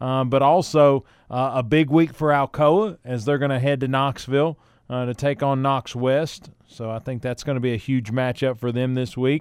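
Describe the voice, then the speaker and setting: A man with a Southern US accent speaks at a moderate pace in a medium pitch, his intonation fairly even. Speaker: radio sports show host. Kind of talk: casual radio talk and interview. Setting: radio studio.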